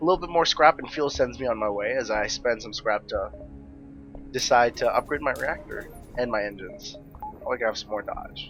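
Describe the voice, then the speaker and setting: A man at a fairly quick pace, music in the background. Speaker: gaming YouTuber. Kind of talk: let's play commentary.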